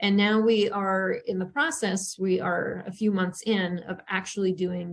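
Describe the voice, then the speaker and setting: This speaker has a North Dakota accent and a fairly even intonation. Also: woman. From western North Dakota. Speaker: journalism professor. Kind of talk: webinar presentation.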